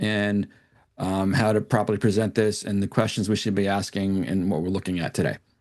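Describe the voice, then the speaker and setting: Fairly quick speech from a man, with a quiet background. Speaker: commercial real estate broker presenting AI tools. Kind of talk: screen-share tutorial demo. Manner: halting, many restarts.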